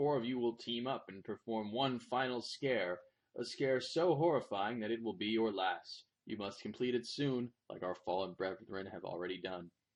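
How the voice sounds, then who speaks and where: At a moderate pace and medium pitch, a man uses a put-on character voice with a hissing sound. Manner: hissing, menacing.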